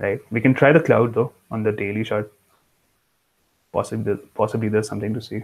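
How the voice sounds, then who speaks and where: A man with a fairly low pitch and fairly even intonation speaks with long, frequent pauses. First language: not English. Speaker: crypto trading analyst. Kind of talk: tutorial. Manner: halting.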